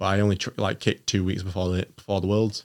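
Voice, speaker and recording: A man's fairly low, monotone voice with a Yorkshire accent at a very fast pace, flat in intonation, on a very clean recording with a silent background. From northern England, Doncaster. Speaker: Olympic taekwondo athlete. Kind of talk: casual interview chat.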